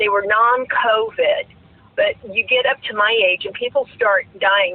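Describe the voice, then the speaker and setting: Over noticeable background noise, a woman with an American accent speaks at a fairly slow pace. Her voice is fairly high, with ordinary pitch variation. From South Florida. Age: 60s. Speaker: retired teacher and full-time RVer. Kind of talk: casual chat.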